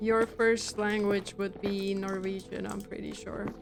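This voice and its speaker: A woman with a Russian accent, monotone and flat in intonation, over noticeable background noise. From Germany, Russian-speaking family. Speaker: gaming streamer. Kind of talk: casual live-stream chat while gaming.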